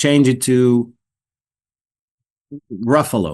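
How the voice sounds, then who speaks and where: The voice has an Israeli accent and sits on a quiet background. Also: man. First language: Hebrew. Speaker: actor. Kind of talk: interview. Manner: halting, repeats words.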